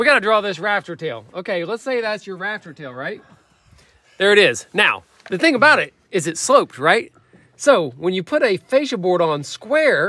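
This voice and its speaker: The dry sound, with no echo, carries a man's raised, projected voice, bright and sharp in tone, swinging very widely in pitch at a moderate pace. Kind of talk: casual explanatory tutorial. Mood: playful, laughing. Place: open country. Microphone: phone near.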